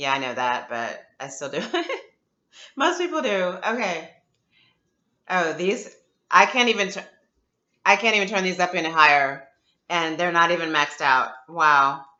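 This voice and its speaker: A woman talks at a moderate pace in a fairly low pitch with lively intonation. Her speech has long, frequent pauses. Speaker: video blogger. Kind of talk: product unboxing review. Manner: loud; casual, chatty.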